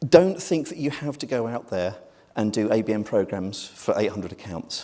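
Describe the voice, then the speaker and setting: In a very clean recording with a silent background, a man with a British accent speaks at a fairly quick pace, medium in pitch, with lively intonation. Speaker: marketing executive, conference speaker. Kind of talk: conference presentation. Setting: stage with audience. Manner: hurried, quick.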